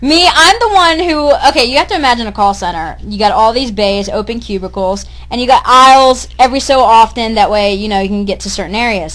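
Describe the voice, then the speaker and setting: The intonation is lively and the pace fairly quick. There are hardly any pauses. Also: woman, fairly high pitch for a woman. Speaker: podcast co-host, call center worker. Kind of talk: casual chat. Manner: loud.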